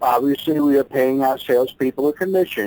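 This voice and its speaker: A man with an American accent speaks at a fairly high pitch, his dark, mellow tone captured in a dry, close recording with no echo. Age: 60s. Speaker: entrepreneur. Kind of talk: interview. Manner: halting, many fillers and repeats.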